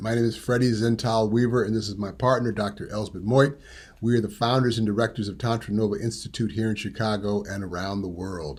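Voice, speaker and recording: A man with an American accent has an unremarkable speaking voice at medium pitch. He talks at a fairly quick pace with hardly any pauses. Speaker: tantra teacher. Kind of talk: presentation.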